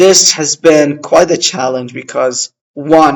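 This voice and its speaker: A man with an Arabic accent at a moderate pace. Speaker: language-learning vlogger. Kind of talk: casual vlog monologue. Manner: halting, many fillers.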